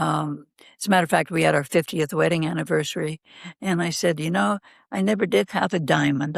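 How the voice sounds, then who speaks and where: Very clean, with a silent background and a dry, close sound with no echo, this recording carries a woman's very deep, low voice. She has vocal fry and ordinary pitch variation. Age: 80s+. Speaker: guest sharing story of love after losing spouse. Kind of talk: casual interview conversation.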